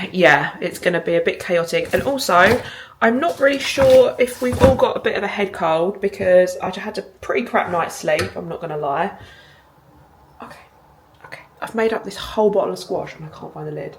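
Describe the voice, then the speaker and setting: With an English accent, a woman speaks at a moderate pace, her loudness swinging widely over noticeable background noise. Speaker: vlogger. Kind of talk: casual vlog chat. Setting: kitchen.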